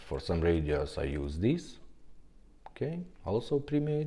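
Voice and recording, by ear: A man speaks at a fairly slow pace with a low pitch and a dark, mellow tone. His pitch makes big swings.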